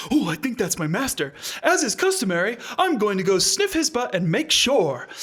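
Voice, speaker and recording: A put-on character voice with a fairly high pitch makes very wide pitch swings over light background noise. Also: moderate pace. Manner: pompous, formal.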